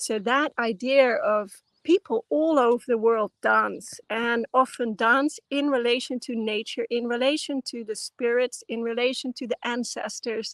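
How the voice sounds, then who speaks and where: In a Dutch accent, a woman speaks at a high pitch with ordinary pitch variation and a fairly slow pace, hardly pausing, her voice dry and close with no echo against a quiet background. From Netherlands. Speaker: anthropologist and dance teacher. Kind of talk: interview. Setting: video call.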